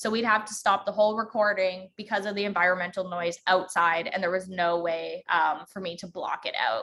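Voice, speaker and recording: A woman speaks with a bright, sharp tone. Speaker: podcasting workshop instructor. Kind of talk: online workshop tutorial. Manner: fast.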